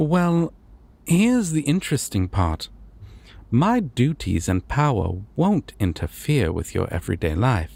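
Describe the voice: A man's put-on character voice full of vocal fry, with big pitch swings at a fairly slow pace. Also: medium pitch for a man, slightly mellow tone.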